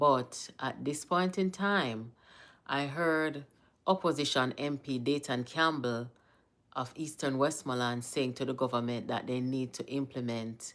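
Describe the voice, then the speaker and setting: This woman has a very deep, low pitch and a Jamaican accent, speaking at a fairly slow pace with ordinary pitch variation. The recording is very clean, with a silent background. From Jamaica, Kingston. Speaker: political commentator, livestream host. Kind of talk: casual live-stream commentary. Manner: mixes Jamaican Patois and English.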